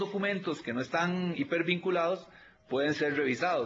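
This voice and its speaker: A man talks at a high pitch. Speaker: auditor at a public audit institution. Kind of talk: videoconference consultation. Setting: video call.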